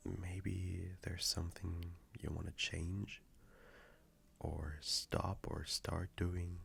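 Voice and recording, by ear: A man's put-on character voice, low-pitched with a fairly bright tone and vocal fry, very slow, with little pitch movement.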